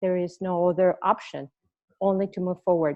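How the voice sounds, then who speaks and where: A woman talks in a Spanish accent at a medium pitch and a fairly quick pace. Her intonation is monotone and flat. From Mexico. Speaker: retired Marine. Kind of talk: interview.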